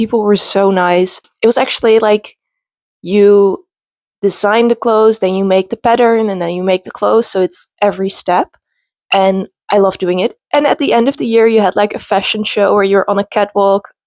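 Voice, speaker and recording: This woman speaks in a Dutch accent at a moderate pace and medium pitch. Her intonation is fairly even, and the sound is dry and close with no echo. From Netherlands. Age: 20s. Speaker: booktuber. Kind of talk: casual vlog talk.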